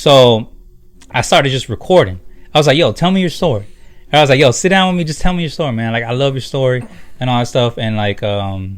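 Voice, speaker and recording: Over music in the background, a man talks at a very fast pace with medium pitch and lively intonation. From San Diego, California. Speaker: Air Force veteran. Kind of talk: casual chat. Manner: animated.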